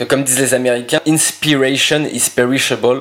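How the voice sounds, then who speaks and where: There is noticeable background noise in this clip. A man does the talking. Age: 20s. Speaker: entrepreneur and ghostwriter. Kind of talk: interview. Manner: hesitant, many fillers and repetitions.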